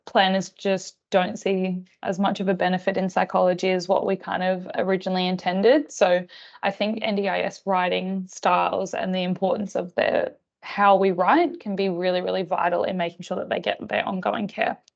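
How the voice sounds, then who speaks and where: In an Australian accent, a woman speaks at a medium pitch with monotone, flat intonation. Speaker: psychologist presenting staff training. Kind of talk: online professional training presentation. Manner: fast.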